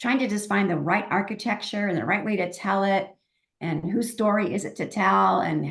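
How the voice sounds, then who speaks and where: A woman speaks at medium pitch and a moderate pace, with vocal fry and ordinary pitch variation. The background is quiet. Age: 60s. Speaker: novelist. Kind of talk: interview.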